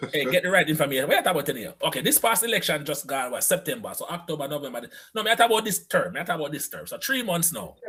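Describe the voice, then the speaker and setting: A high-pitched man at a very fast pace with very wide pitch swings and hardly any pauses, over noticeable background noise. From Jamaica. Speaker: live-stream show host. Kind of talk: casual chat on a live stream. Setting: live online broadcast. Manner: animated.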